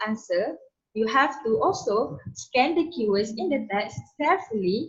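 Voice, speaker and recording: A woman talks at a fairly slow pace, somewhat breathy. Her pitch swings very widely. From Malaysia. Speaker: student presenter. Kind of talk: tutorial. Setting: webinar. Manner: halting.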